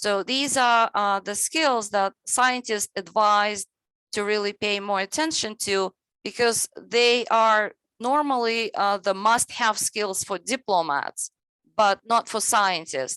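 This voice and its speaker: A bright, sharp voice speaks very slowly with ordinary pitch variation, its sound dry and close with no echo against a quiet background. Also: woman, fairly high pitch for a woman. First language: not English (English is third language). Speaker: webinar presenter on science education. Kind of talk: webinar presentation. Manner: halting, many fillers.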